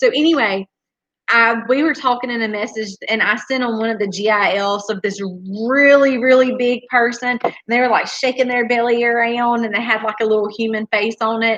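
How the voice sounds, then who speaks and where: A woman with a strong Southern US accent, fairly high-pitched, at a moderate pace with fairly even intonation. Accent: strong Southern country. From US South. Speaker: homesteader, channel co-host. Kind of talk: casual live-stream chat.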